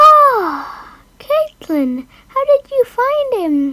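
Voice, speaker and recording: A woman speaks very slowly in a put-on character voice with an extremely high pitch. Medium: read story.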